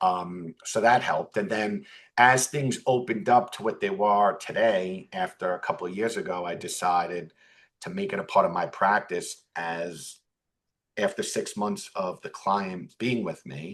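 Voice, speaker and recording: A man speaks with a Bronx accent. His pace is fairly slow. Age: 40s. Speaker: financial advisor. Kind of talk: interview conversation.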